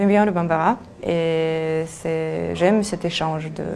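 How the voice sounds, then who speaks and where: Noticeable background noise runs under this recording. The woman speaking has a fairly low pitch. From Russia. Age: 20s. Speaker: language teacher. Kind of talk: interview answer.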